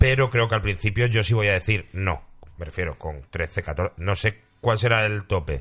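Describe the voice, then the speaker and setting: A man speaks in a normal speaking voice, fairly low in pitch with ordinary pitch variation. The background is quiet. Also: moderate pace. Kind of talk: casual chat.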